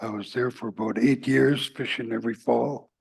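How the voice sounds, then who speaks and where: A man with a Yukon accent, medium pitch, ordinary pitch variation and vocal fry. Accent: Yukon First Nations Canadian English. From Yukon, Canada (Whitehorse), First Nations. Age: 70s. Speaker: First Nation elder and fisher. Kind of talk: testimony. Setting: public meeting in person.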